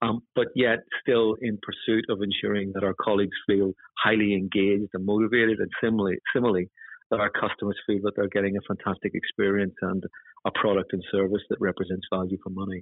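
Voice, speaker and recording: A man with a Northern Irish accent, very fast pace, fairly low pitch and monotone, flat intonation. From Northern Ireland. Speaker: housing chief executive. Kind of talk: formal interview about leadership. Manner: formal, measured.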